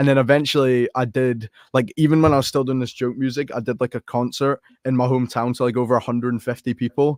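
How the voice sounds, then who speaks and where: The sound is dry and close, with no echo. A man with an American accent talks at a very fast pace in a monotone, flat intonation. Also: medium pitch for a man. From Scotland. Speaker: rapper. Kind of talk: casual chat. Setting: live online podcast call.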